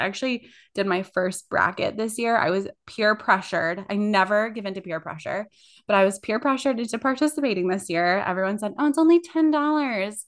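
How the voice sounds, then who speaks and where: In a plain, everyday voice, a woman speaks at medium pitch and a moderate pace with lively intonation against a quiet background. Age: 30s. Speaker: podcast co-host, social media director. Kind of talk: casual chat. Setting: recording at home in bathroom.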